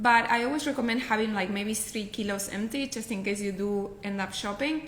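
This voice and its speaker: At a fairly quick pace, a woman with a Spanish accent speaks at a fairly high pitch with ordinary pitch variation, audible room echo and noticeable background noise. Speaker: professional packer. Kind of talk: casual interview.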